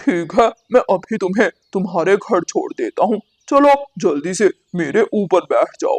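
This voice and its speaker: Delivered at a moderate pace, a cartoonish character voice sits at a fairly high pitch. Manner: wheedling, deceitful.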